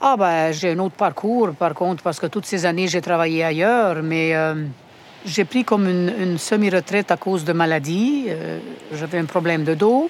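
A woman has an unremarkable speaking voice and a fairly low pitch. She keeps a moderate pace with ordinary pitch variation. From Romania. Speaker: home care worker. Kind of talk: interview.

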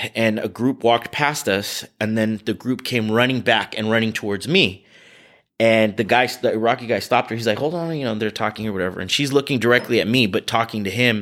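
On a very clean recording with a silent background, a man with a Californian accent speaks at a fairly quick pace. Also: medium pitch for a man, ordinary pitch variation. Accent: Californian American English. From US West Coast, California Bay Area. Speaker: charity director and prosecutor. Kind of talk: interview.

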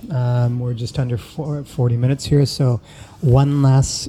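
Very slowly, a man speaks at a medium pitch with fairly even intonation in a dark, mellow, somewhat breathy tone. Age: 40s. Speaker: podcast host. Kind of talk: casual interview.

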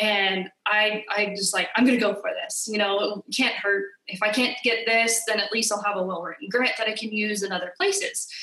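Here a woman speaks with an American accent. Her pitch is fairly high and her pace moderate. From California. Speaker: middle school teacher. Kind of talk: interview.

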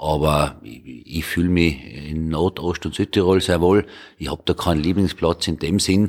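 This man's voice has a very deep, low pitch with ordinary pitch variation. He speaks at a moderate pace. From North Tyrol, Hall. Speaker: member of parliament. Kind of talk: roundtable discussion. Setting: parliament building.

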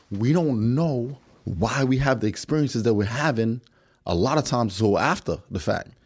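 In a very clean recording with a silent background, a man with an American accent speaks at a medium pitch and a moderate pace with lively intonation. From New York City. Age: 40s. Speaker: podcast guest. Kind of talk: casual chat.

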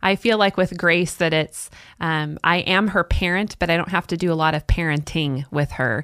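The recording is very clean, with a silent background and a dry, close sound with no echo. A woman speaks at a fairly low pitch and a moderate pace, her pitch varying in an ordinary way. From US West, Salem, Oregon. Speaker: preschool teacher and pastor's wife. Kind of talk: radio interview, faith testimony. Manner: fluent.

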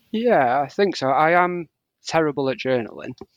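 Using a plain, everyday voice, a man moves through his words at a moderate pace. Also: dry, close sound with no echo, very clean recording, silent background. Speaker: scrapbooker and content creator. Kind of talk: casual interview chat.

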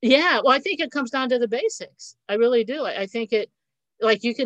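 Someone with an American accent talks at a very fast pace with ordinary pitch variation. The sound is dry and close with no echo, over a quiet background. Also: woman. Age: 60s. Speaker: economics and finance teacher. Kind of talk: casual chat.

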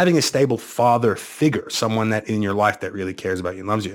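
Someone with an American accent talks very fast in an animated tone with lively intonation. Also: man. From Bermuda, later America. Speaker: sales company founder. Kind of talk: interview conversation. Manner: animated, repeats words often.

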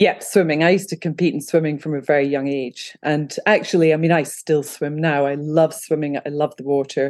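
Fairly quick speech from a woman with a Scottish accent, very deep and low in pitch, fairly even in intonation, with hardly any pauses. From Scotland. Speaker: photographer and freediver. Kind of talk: casual interview.

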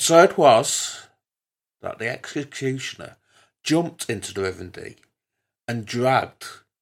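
The voice has a warm tone and moves at a fairly slow pace. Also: man. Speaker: storytelling host. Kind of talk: true-crime narration, spooky storytelling. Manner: measured, grave, solemn narration; warm, intimate with listeners.

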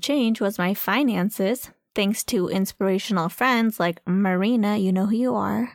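A woman talks in a plain, everyday voice. She keeps to a medium pitch and a moderate speed. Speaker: podcast co-host. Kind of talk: casual chat. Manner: laughs often, relaxed, playful.

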